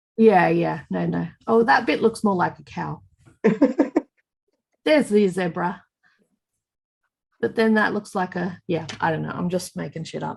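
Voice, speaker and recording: With vocal fry and a fairly low pitch, a woman talks at a fairly slow pace, leaving long, frequent pauses, her pitch varying in an ordinary way. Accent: Australian. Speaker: knitting podcast co-host. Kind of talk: casual podcast conversation.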